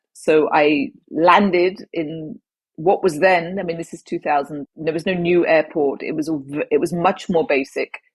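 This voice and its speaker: A woman with a southern English accent speaks at a moderate pace in a dry, close sound with no echo. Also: fairly low pitch for a woman, ordinary pitch variation. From southwest England. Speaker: former advertising executive and traveller. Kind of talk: interview storytelling.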